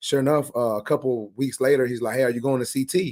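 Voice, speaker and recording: A man at medium pitch, very fast pace and fairly even intonation. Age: 30s. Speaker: barber and content creator. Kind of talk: casual chat. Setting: livestream interview. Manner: stutters somewhat; outgoing, easygoing.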